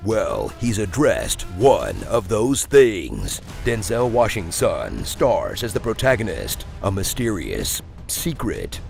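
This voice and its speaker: Music plays behind the voice. The words come at a fairly slow pace. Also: man. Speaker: voice actor, trailer narrator. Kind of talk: comedic movie trailer narration. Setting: studio.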